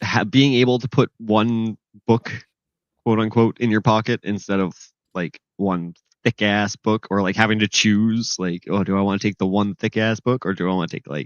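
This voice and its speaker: The speaker mumbles at a moderate pace with ordinary pitch variation. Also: man. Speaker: comics podcast co-host. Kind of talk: casual chat. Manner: mumbly.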